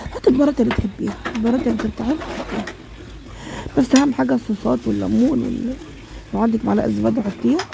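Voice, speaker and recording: Over noticeable background noise, a woman talks at a very fast pace broken by long, frequent pauses. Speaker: home cook. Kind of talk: cooking tutorial. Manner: halting.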